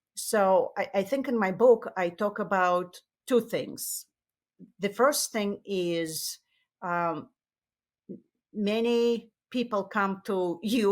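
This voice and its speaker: A woman with a Russian accent and ordinary pitch variation, in a very clean recording with a silent background. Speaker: tech marketing executive and author. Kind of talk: interview. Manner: halting, with many fillers.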